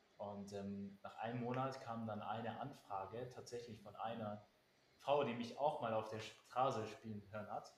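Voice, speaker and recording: A man's medium-pitched voice at a moderate pace, with fairly even intonation and noticeable background noise. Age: 20s. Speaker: pianist. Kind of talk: casual chat.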